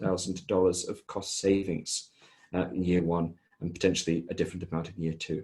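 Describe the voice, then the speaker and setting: A man's very deep, low, somewhat breathy voice with a dark, mellow tone, at a fairly quick pace, over a quiet background. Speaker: software vendor presenter. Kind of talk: product demo presentation.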